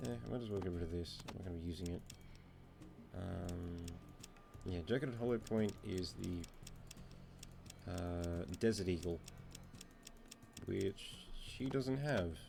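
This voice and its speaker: With music playing in the background, the speaker talks in a calm tone at a fairly slow pace with long, frequent pauses. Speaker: gaming video creator. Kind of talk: gameplay commentary. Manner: calm, low-energy; many filler ums.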